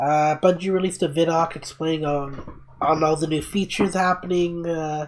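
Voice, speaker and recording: A man speaks at a moderate pace and fairly high pitch with hardly any pauses. His intonation is monotone and flat over noticeable background noise. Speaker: podcast co-host. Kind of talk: casual chat. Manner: halting.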